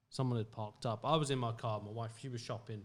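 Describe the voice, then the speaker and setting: On a very clean recording with a silent background, a man with a London accent speaks at a medium pitch. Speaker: podcast guest. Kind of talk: casual chat.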